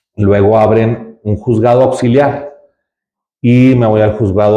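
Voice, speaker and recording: Fairly slow in pace, a man speaks with a dark, mellow tone and fairly even intonation. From Mexico, Ciudad Juárez, Chihuahua. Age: 40s. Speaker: judge and judicial candidate. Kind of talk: interview. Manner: halting, many fillers.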